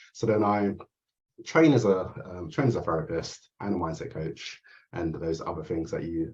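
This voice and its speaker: Somewhat breathy, a man with an English accent speaks at a very deep, low pitch. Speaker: therapist and mindset coach. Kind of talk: interview. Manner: halting.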